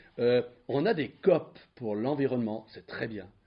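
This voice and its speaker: The voice is somewhat breathy, in a Valais accent. The pace is moderate. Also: man. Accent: Swiss French (Valais). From Switzerland, Valais. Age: 70s. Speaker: retired diplomat, speaker. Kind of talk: public lecture. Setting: conference hall with audience. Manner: hesitant, many fillers and repetitions.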